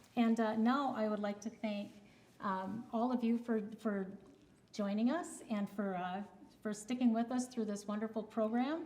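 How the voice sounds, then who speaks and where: With an ordinary speaking voice, a woman talks at a fairly high pitch with ordinary pitch variation. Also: moderate pace. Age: 60s. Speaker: community TV show host. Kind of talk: scripted sign-off; casual interview chat.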